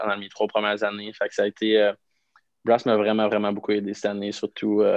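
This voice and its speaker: Over a quiet background, a man speaks at a fairly low pitch in a dry sound with no echo. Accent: Quebec. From Quebec. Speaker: professional hockey player; podcast guest. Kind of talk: casual chat. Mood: relaxed, amused anecdotes. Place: home room. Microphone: video call.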